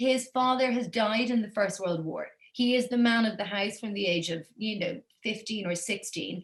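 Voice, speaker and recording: A woman speaks at a fairly high pitch and a moderate pace. Her voice is somewhat breathy, with ordinary pitch variation. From Belgium, Brussels, Irish family. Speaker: author and journalist. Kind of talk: interview conversation.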